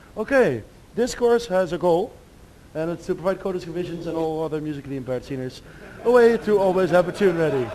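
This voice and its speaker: A high-pitched man talking at a very fast pace amid noticeable background noise. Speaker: demoscene speaker giving a talk. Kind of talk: lecture. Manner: halting.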